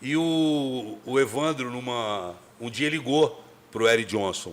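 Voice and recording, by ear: Speaking with a Rio de Janeiro accent, a man uses a medium pitch with ordinary pitch variation. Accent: carioca (Rio de Janeiro).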